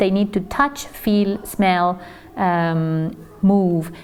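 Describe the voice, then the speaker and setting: Speaking in a Spanish accent, a woman uses ordinary pitch variation. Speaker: teacher trainer. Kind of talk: lecture. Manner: hesitant with fillers.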